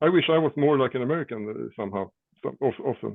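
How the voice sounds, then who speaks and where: A man with a fairly high pitch speaks with a Swedish accent. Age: 60s. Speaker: rock drummer. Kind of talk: casual chat. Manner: halting.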